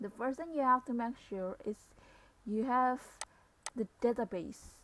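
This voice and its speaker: Quietly, a woman talks with a non-native accent. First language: non-native English speaker. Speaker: civil engineering / GIS practitioner. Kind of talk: software tutorial narration. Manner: quiet, low volume.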